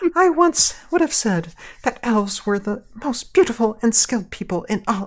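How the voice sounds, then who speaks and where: A female-sounding put-on character voice with a fairly high pitch moves at a moderate pace on a very clean recording with a silent background. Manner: deliberately annoying, fun.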